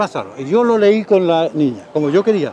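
A man's high-pitched voice with lively intonation at a fairly slow pace, dry with no echo, over light background noise. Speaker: radio and television host, former radio announcer. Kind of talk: interview answer, personal anecdote. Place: street. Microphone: lapel.

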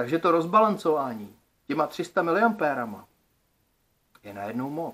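The man talks at a moderate pace, his pitch swinging very widely. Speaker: DIY electronics video creator. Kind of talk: casual vlog monologue. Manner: colloquial, lots of filler words. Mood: thoughtful, slightly frustrated. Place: home room. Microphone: phone near.

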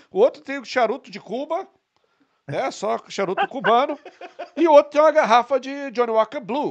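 Against a quiet background, a man with an extremely high voice speaks in a playful tone at a moderate pace, with lively intonation, big swings in loudness and long, frequent pauses. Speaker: podcast co-host; podcast guest or host. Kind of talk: casual chat. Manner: joking, playful. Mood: humorous, relaxed anecdote. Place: studio. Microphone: studio mic.

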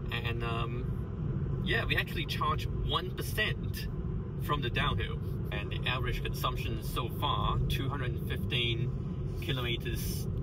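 A man talks at a fairly slow pace in a dry sound with no echo, while loud background noise runs behind him. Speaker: driver reviewing his car. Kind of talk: commentary. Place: car.

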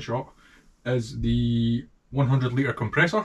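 This man talks at a medium pitch with a strong Scottish accent, ordinary pitch variation and a somewhat breathy quality. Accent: thick Scottish. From Scotland. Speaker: motorcycle restorer. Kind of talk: casual talk to camera. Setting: workshop. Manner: humorous. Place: workshop. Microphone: camera far.

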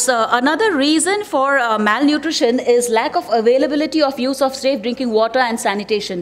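The speaker is a woman. Her pitch is high. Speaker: conference presenter. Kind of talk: presentation talk. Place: hall. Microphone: podium.

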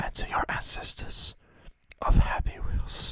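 Whispering and soft-spoken, a man talks at a fairly slow pace, the sound dry with no echo against a quiet background. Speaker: gaming video host. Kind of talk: let's play commentary, ASMR style. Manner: soft ASMR whisper into close mic. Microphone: studio mic.

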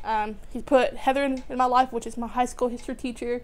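Here a woman talks. Her voice sits high. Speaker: graduate student. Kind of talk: testimony. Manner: halting, many fillers. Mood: warm, reflective. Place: home room.

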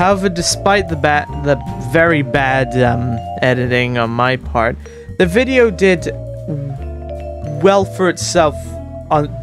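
A man talks at a fairly slow pace with long, frequent pauses. Music plays clearly in the background. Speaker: gaming video creator. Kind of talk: casual commentary. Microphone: studio mic.

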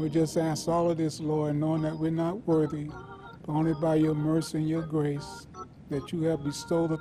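A man's monotone, flat delivery at a moderate pace, with clear music in the background. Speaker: church minister leading prayer. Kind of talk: prayer. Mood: solemn, earnest. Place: church.

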